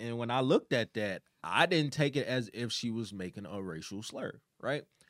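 A man talks at a moderate pace with an American accent. His is an ordinary speaking voice with ordinary pitch variation. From Chicago, South Side. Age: 20s. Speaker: podcast co-host. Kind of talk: casual chat.

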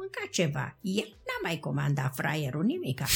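A woman talks at a moderate speed while noticeable background noise can be heard. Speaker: grandmother interviewed by grandchild. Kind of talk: family interview, reminiscing.

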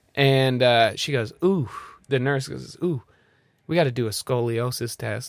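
At a fairly slow pace, a man with a medium pitch speaks in an animated tone with ordinary pitch variation. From Nebraska, US Midwest. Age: 30s. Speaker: comedian. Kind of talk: casual chat.

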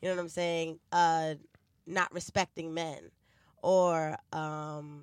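Someone speaks in a New York accent on a very clean recording with a silent background. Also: woman. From New York City (Bronx), then New Jersey. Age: 20s. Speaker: podcast host. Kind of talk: casual chat.

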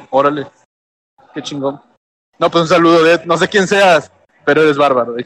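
Using ordinary pitch variation, a man with a Mexican accent and fairly high pitch talks at a moderate pace with long, frequent pauses. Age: 30s. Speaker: cooking show contestant. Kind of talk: casual chat.

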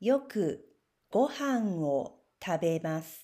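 A woman's dark, mellow voice at a very slow pace with very wide pitch swings, on a very clean recording with a silent background. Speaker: Japanese language teacher. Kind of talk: reading aloud.

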